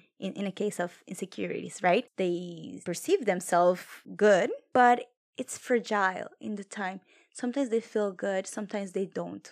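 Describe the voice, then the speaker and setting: This woman has a strong non-native accent and a medium pitch. She speaks at a moderate pace with ordinary pitch variation. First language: Spanish or French. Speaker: podcast co-host. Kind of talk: casual chat.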